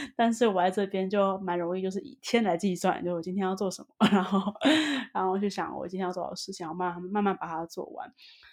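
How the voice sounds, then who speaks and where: A woman with a plain, everyday voice talks at a fairly quick pace and medium pitch. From Taiwan. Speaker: Taiwanese expat in Sweden. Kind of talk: casual interview chat.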